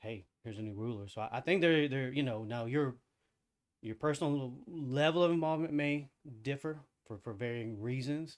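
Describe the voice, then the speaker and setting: A man mumbles at a moderate pace. The recording is very clean, with a silent background. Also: medium pitch for a man, ordinary pitch variation. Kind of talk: casual discussion. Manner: soft-spoken; mumbling.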